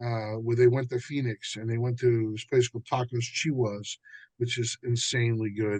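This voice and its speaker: With an American accent, a man talks at a moderate pace and medium pitch, sounding somewhat breathy. His intonation is monotone and flat, and the sound is dry and close with no echo. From New Jersey. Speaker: musician and author. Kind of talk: casual chat. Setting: podcast.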